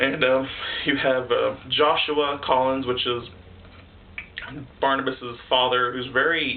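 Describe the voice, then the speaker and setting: There is noticeable background noise behind this man. He talks at a moderate pace and a medium pitch. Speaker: video reviewer. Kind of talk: casual review monologue. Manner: halting, stuttering; animated.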